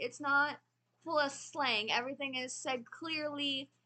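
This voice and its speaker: A woman's raised, projected voice in an American accent, high in pitch, at a fairly slow pace. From United States. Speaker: knitting and book vlogger. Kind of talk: casual chat. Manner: casual, with fillers.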